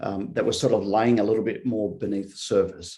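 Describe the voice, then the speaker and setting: This is a man's voice. It sits at a medium pitch. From Australia. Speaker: futurist consultant. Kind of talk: workshop presentation.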